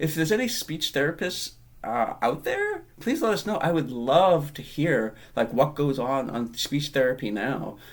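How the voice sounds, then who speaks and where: A man speaks at a fairly high pitch and moderate pace with lively intonation. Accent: American. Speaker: podcast co-host. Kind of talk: casual chat.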